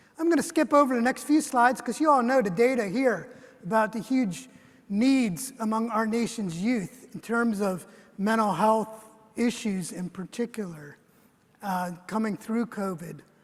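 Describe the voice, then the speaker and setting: A man's high pitch carries lively intonation at a moderate pace. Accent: American. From US. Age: 60s. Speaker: government official. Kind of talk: keynote speech. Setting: conference stage with audience.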